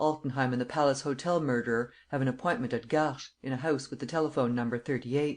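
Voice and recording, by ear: The speaker is reading aloud in a natural voice.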